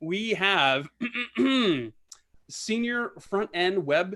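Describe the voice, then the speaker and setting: In a very clean recording with a silent background, a man speaks with an American accent and ordinary pitch variation. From New Jersey. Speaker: podcast host. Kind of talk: casual interview chat.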